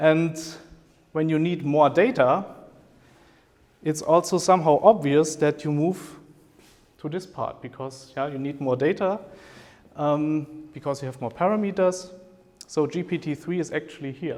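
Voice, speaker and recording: A man with a German accent, his pitch fairly high, his intonation ordinary in its rise and fall, at a moderate pace broken by long, frequent pauses. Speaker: professor. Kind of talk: lecture. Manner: hesitant with fillers.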